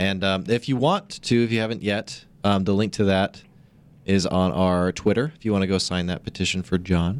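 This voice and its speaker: Here is a plain, everyday voice: a man with a fairly low pitch and ordinary pitch variation, speaking at a moderate pace. The recording is very clean with a silent background. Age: 20s. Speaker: podcast co-host. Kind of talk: casual chat.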